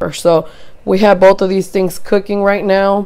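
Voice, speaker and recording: The woman's tone is dark and mellow. Her pitch is medium. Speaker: cooking channel host. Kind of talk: cooking tutorial. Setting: at sister's home kitchen.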